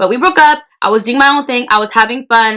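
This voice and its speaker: A woman's loud, bright, sharp voice at a fairly quick pace, with ordinary pitch variation. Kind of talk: casual storytelling to camera while eating. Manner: loud, fast, repetitive; talks with mouth full.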